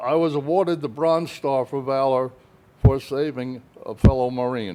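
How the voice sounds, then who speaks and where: A man's voice sits at a medium pitch. It has a dark, mellow tone. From New Jersey (East Rutherford). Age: 90s. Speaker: war veteran. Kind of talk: oral history interview.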